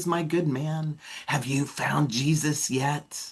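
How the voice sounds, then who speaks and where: A man puts on a character voice with a fairly high pitch. He speaks at a very slow pace with fairly even intonation. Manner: harsh, scolding.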